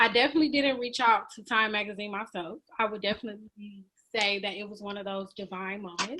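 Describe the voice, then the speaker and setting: A woman with an American accent talks fairly quickly in a fairly high, bright and sharp voice. Her pitch varies in an ordinary way. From Michigan, Benton Harbor area. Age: 20s. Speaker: education equality advocate. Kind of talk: podcast interview.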